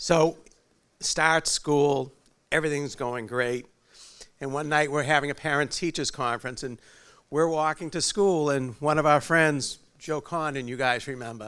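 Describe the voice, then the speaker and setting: A man with a strong New England accent, a bright, sharp tone, fairly high pitch, fairly even intonation and a moderate pace, on a very clean recording with a silent background. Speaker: father of the groom. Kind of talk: wedding speech. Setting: wedding reception with audience. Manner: halting.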